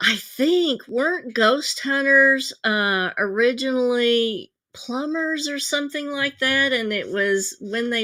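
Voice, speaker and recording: The woman's tone is bright and sharp, with ordinary pitch variation and a very slow pace. The recording is very clean, with a silent background. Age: 60s. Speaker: psychic and live show host. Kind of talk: live stream talk. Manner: casual, with fillers.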